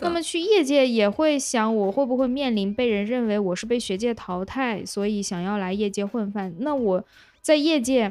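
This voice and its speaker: A woman speaks with lively intonation at a fairly high pitch. Her pace is moderate. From Lanzhou, northwest China. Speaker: podcast host. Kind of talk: casual interview chat. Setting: remote online recording.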